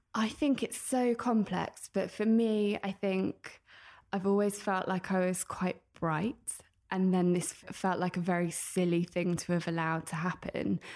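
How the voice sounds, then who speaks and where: A woman with a British accent talks with fairly even intonation. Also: medium pitch for a woman, moderate pace. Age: 30s. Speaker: author and personal finance influencer. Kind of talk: interview.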